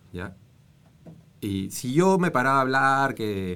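Speaking in a medium pitch, a man makes very wide pitch swings. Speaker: former congressman and environmental NGO director. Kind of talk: casual interview chat.

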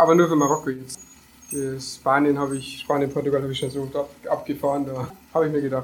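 Talking at a very fast pace, a man keeps a fairly high pitch in a monotone, flat intonation. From Lower Bavaria, Germany (near Deggendorf). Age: 20s. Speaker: van-life traveller, former car painter. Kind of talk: casual interview.

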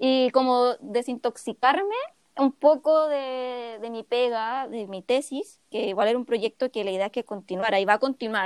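A woman with a Chilean accent speaks at a moderate pace in a high pitch with ordinary pitch variation. Her loudness swings widely, and the sound is dry and close with no echo. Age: 20s. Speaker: podcast co-host, illustrator. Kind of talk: casual chat.

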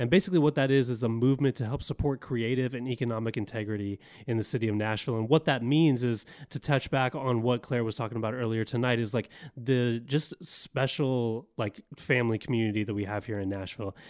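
A man rattles along at a very fast pace with ordinary pitch variation, and the background is quiet. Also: medium pitch for a man. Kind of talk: casual chat.

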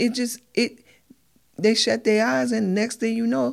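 A woman with an American accent speaks at a moderate pace in a fairly high pitch. It is an ordinary speaking voice, captured in a very clean recording with a silent background. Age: 50s. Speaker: mother of a pro football player. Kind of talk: casual chat.

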